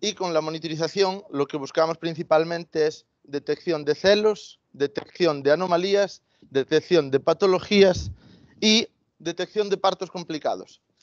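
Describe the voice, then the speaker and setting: A man in a Galician accent speaks at a high pitch and a fairly slow pace with ordinary pitch variation, the sound dry with no echo and the background quiet. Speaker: veterinarian and agritech founder; presenter. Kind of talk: product presentation. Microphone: video call.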